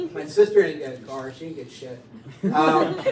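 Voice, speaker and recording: The speaker has an American accent. Noticeable background noise runs beneath the voice. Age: 60s. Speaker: stand-up comedian. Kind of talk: stand-up. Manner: animated.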